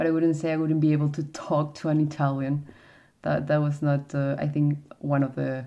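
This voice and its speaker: With a very deep, low pitch and a dark, mellow tone, a woman speaks at a moderate pace in a monotone, flat intonation. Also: quiet background. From South America. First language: Spanish. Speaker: YouTuber showing collectibles. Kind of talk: casual livestream-style video chat. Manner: halting, many fillers.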